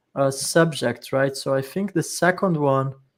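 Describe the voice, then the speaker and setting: An unremarkable speaking voice moves at a moderate pace with fairly even intonation over a very clean recording and silent background. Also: man. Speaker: panel discussion moderator. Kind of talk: live panel discussion.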